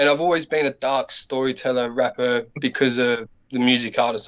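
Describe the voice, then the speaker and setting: A man's Australian accent at a moderate pace. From Australia, Adelaide (North Side). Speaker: battle rapper. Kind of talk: casual interview.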